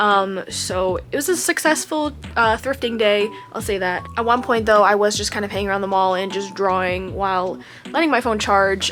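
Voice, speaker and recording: Background noise is noticeable throughout. The speaker's intonation rises and falls in a lively way. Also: woman, medium pitch for a woman, moderate pace. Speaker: vlogger. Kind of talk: casual vlog talk. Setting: indoors at home.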